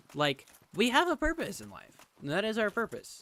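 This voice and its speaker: A quiet male voice with a bright, sharp tone. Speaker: gaming streamer. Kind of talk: casual chat. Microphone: too far from the mic.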